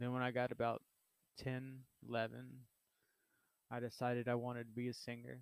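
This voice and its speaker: A man with a Texan accent speaks at a fairly quick pace in a medium pitch, his flat, monotone delivery broken by long, frequent pauses. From Southeast Texas. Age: 30s. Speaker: podcaster. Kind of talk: personal monologue. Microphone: cheap microphone.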